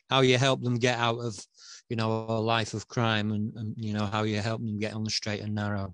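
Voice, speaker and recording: A man's medium-pitched voice with a northern English accent, flat and monotone, at a fairly quick pace over a quiet background. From northern England. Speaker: online show host. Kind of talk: interview.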